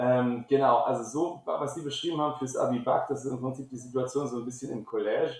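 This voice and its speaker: A man's medium-pitched voice, very fast and monotone with flat intonation, hardly any pauses. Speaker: school principal. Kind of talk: interview. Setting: online call. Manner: halting, many fillers.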